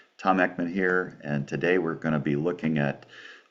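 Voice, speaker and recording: Over noticeable background noise, a man speaks at a moderate pace with a very deep, low pitch and ordinary pitch variation. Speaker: Greek teacher. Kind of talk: tutorial. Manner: rolls his R sounds.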